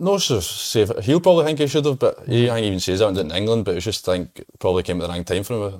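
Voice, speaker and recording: A man with a Scottish accent and fairly low pitch talks at a very fast pace with hardly any pauses. His pitch swings very widely and his loudness shifts a lot. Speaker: footballer. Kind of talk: casual chat.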